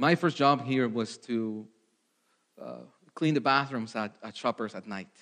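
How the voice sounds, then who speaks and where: Speaking at a fairly slow pace with a Spanish accent, a man of medium pitch shows ordinary pitch variation, big swings in loudness, and long, frequent pauses. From Mexico. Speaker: ministry candidate preacher. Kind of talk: testimony; sermon. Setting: church. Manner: halting.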